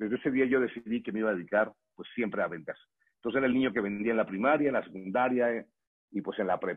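Very rapid delivery from a man, mid-range pitch, pitch moving in an ordinary way. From Mexico, Morelia, Michoacán. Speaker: network marketing distributor and trainer. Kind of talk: motivational training talk.

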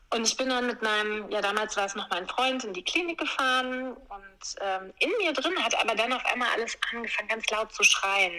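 With hardly any pauses, a woman talks at a moderate pace in a fairly high voice with ordinary pitch variation. Noticeable background noise runs underneath. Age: 40s. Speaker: yoga teacher. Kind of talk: interview storytelling.

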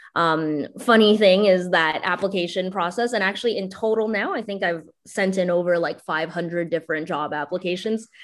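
A woman in a normal speaking voice talks at a fairly quick pace with hardly any pauses, at a medium pitch with ordinary pitch variation. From Canada. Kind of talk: interview.

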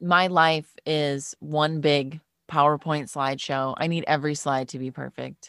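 A woman with an American accent and a very deep, low pitch speaks at a fairly slow pace in a monotone, flat intonation, with big swings in loudness. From Wisconsin, US Midwest. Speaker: voice actor and former radio host. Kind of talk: casual podcast interview.

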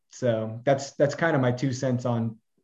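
The background stays quiet. A somewhat breathy male voice is heard. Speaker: consulting CEO, course provider. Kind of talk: casual interview chat.

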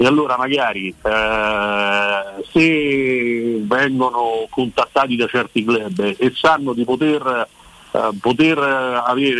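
A man talks over noticeable background noise. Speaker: football journalist. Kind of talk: casual chat. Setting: phone call.

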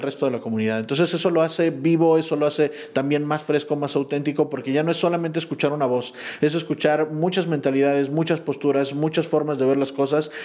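Fairly even intonation and a fairly quick pace mark a plain, everyday voice. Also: man. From Pachuca, Mexico. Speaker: entrepreneur, community member. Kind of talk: casual chat. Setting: office studio.

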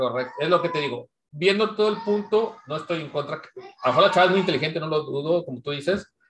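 A man's high-pitched voice, very fast, with hardly any pauses and ordinary pitch variation. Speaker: podcast co-host. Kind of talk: casual chat.

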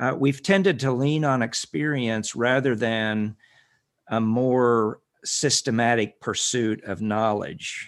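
At a very slow pace, a man with medium pitch talks against a quiet background. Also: ordinary pitch variation. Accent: American. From rural Kansas, US (some boyhood in Northwest Texas). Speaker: minister and ministry director. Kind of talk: interview. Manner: measured, with frequent fillers.

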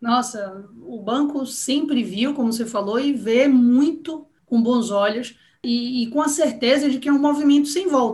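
A woman with a northeastern Brazilian accent, high in pitch, with ordinary pitch variation. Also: fairly slow pace. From Salvador, Bahia, Brazil. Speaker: bank marketing executive. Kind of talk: interview.

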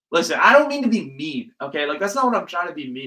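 A man with an American accent speaks in a raised, projected voice at a high pitch. His tone is animated, with very wide pitch swings. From US West Coast, Silicon Valley, California. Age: 20s. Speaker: podcast host. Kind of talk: casual solo monologue. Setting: home, sitting on bedroom floor. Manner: fast talker.

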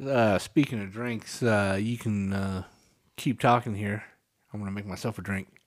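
In a very clean recording with a silent background, a man with an unremarkable speaking voice talks at a moderate pace, his fairly low pitch held in fairly even intonation. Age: 40s. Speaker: podcast co-host. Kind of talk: casual chat.

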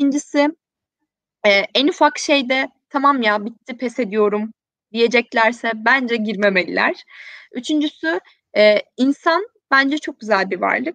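The dry, close recording has no echo, as a woman speaks in a high pitch with lively intonation. Her pace is fairly slow, with long, frequent pauses. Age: 20s. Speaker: social responsibility platform founder. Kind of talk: live-stream interview.

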